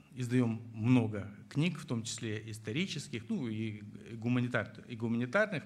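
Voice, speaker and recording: A somewhat breathy voice speaks at a fairly slow pace with audible room echo. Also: man. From Moldova (Chisinau). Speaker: historian and book publisher. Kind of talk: interview on stage before an audience. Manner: halting with many fillers.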